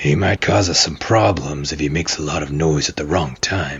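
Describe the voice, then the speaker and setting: A man puts on a raspy character voice, very deep and low, speaking at a moderate pace with ordinary pitch variation. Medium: actual play. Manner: folksy, plain-spoken, dialect grammar.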